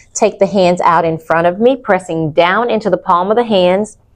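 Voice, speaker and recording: A woman with an unremarkable speaking voice talks at a moderate pace and fairly low pitch, with ordinary pitch variation. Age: 50s. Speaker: pilates instructor. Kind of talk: guided exercise class. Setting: studio. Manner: calm, instructive.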